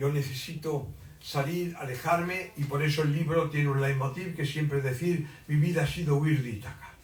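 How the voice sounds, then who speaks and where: A man's fairly high-pitched voice at a moderate pace, fairly even intonation, noticeable background noise and audible room echo. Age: 80s+. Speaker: writer. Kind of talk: book presentation talk. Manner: halting.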